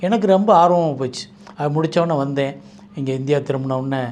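A man speaks in an ordinary speaking voice. His pitch is fairly high, with ordinary pitch variation. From Madurai, Tamil Nadu. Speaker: mushroom researcher and trainer. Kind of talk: interview monologue.

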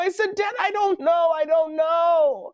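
A man is speaking. The background is quiet. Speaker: children's show host. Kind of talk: storytelling to kids. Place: studio.

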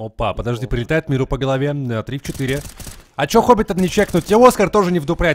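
Speaking very fast at a medium pitch, a man sounds animated, with lively intonation. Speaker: esports commentator. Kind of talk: live esports commentary. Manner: fast, animated play-by-play with banter.

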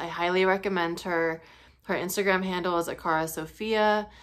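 A woman with a fairly low pitch talks at a moderate pace in monotone, flat intonation against a quiet background. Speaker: spiritual teacher vlogger. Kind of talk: casual vlog chat. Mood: calm, earnest, sometimes laughing. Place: home room. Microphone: phone near.

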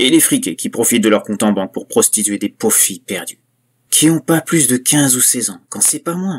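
In a very clean recording with a silent background, a man with an ordinary speaking voice talks at a moderate pace with lively intonation. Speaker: creepypasta narrator. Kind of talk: horror story narration, first-person parody as a killer. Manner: darkly gleeful, conspiratorial, relishing gruesome details.

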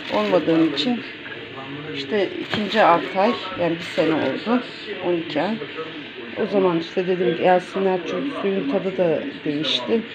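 Over loud background noise, a soft-spoken woman talks at a fairly slow pace in a fairly low pitch, leaving long, frequent pauses. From Turkey. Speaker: home cooking vlogger. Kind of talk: casual cooking vlog talk. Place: home room. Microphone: phone near.

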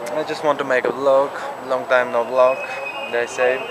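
Amid loud background noise, a man speaks at a fairly slow pace. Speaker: vlogger. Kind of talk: casual vlog chat. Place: garden. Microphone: phone near.

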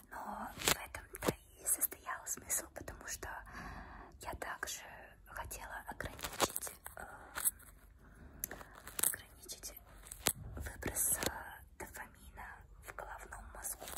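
A woman speaks at a very slow pace, with long, frequent pauses. Loud background noise runs under her voice. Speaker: ASMR creator. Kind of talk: casual talk to camera. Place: home room. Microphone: phone near.

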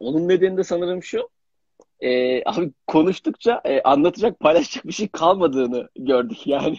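Against a quiet background with dry sound and no echo, a man with a high pitch speaks at a moderate pace with lively intonation. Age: young. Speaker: young actor. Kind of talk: casual interview. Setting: Instagram live video call. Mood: relaxed, smiling. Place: home room. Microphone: video call.

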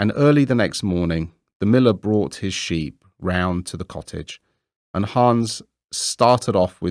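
A quiet background behind plain reading aloud.

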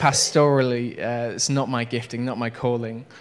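A moderate pace carries the speech. The voice is a man's. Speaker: preacher. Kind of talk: sermon. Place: church. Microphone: handheld.

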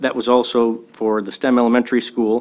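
In an American accent, a man talks at a moderate pace with a medium pitch. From US Midwest. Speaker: school board member and contractor. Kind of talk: public meeting discussion. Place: meeting room. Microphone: podium.

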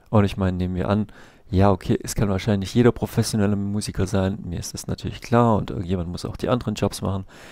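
Over a quiet background, a man speaks very fast in a dark, mellow tone, fairly low in pitch with fairly even intonation, the sound dry with no echo. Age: 30s. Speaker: vlogger, street musician and comic artist; comic artist vlogger. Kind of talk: casual vlog monologue; casual vlog chat. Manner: hesitant, many filler sounds. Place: home room. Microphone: headset.

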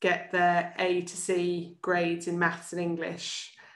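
Medium-pitched female speech, with audible room echo. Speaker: charity chief executive. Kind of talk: presentation. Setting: video call. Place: home room. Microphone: video call.

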